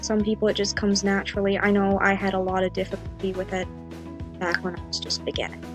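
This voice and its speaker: A woman talks at a very fast pace with music playing in the background. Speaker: digital artist. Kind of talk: drawing tutorial narration. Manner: casual, hesitant.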